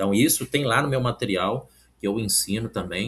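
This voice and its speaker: With fairly low pitch and ordinary pitch variation, a man talks at a moderate pace in an unremarkable speaking voice. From Brazil, Minas Gerais (Oliveira). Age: 40s. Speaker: civil service exam candidate and study coach. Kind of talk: casual vlog talk with product pitch. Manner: informal, with many fillers.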